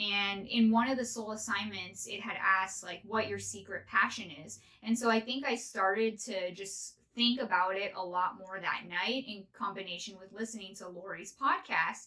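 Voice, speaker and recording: A woman with an American accent has a plain, everyday voice at a medium pitch, speaking at a moderate pace with ordinary pitch variation, big swings in loudness and hardly any pauses. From northern California. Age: 30s. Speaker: podcast host. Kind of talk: casual monologue.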